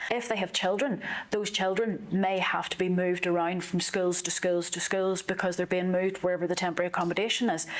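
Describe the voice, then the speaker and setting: A woman with a Northern Irish accent talks very fast at a medium pitch, with fairly even intonation, very even loudness, hardly any pauses and noticeable background noise. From Northern Ireland. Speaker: politician. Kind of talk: interview.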